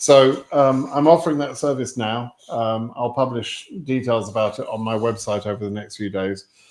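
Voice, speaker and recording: With an English accent, a man speaks at a moderate pace with hardly any pauses. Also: medium pitch for a man, ordinary pitch variation. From England. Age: 60s. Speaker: immigration advice streamer. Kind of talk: live Q&A stream. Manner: hesitant, many fillers.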